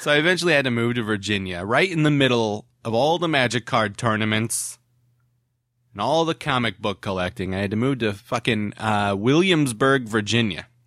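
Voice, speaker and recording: A man at a medium pitch and moderate pace, with a normal speaking voice and lively intonation, on a very clean recording with a silent background. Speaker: podcast host. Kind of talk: casual comedic banter with profanity. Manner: casual, laughing, jokey.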